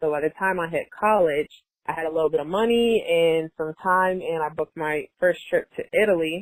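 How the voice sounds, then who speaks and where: A woman with an American accent and a normal speaking voice talks at a fairly low pitch with ordinary pitch variation, in a dry, close sound with no echo. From United States. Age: 20s. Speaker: travel entrepreneur. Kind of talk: casual interview chat.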